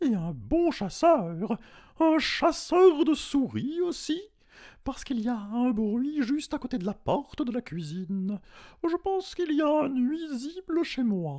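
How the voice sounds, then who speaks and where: The voice is a man's put-on character voice. It sits at an extremely high pitch and moves at a fairly slow pace. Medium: read story. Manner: affected, over-refined.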